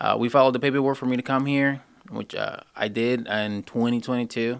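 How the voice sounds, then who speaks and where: A man speaks at a moderate pace and a medium pitch. The recording is very clean, with a silent background. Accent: Spanish. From Honduras. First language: Spanish. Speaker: HVAC apprentice. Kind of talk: casual interview. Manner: halting.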